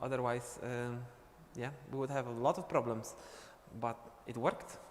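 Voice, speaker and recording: A man's medium-pitched voice in a Polish accent, monotone with flat intonation. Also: moderate pace. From Poland. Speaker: dance teacher. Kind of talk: live stream chat. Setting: live online stream.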